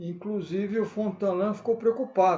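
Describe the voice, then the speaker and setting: A man speaks in a high voice at a fairly slow pace. His pitch varies in an ordinary way. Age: 80s+. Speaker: city council candidate. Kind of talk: casual chat. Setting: online live stream.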